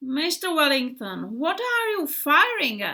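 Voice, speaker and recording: Using a put-on character voice, a woman speaks high and fairly slowly, with very wide pitch swings. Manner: resentful.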